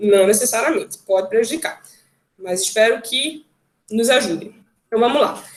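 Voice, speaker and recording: The speaker is a woman with lively intonation. She moves along at a fairly quick pace. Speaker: occupational therapist and music therapist. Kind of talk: online talk. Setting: video call. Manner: fast.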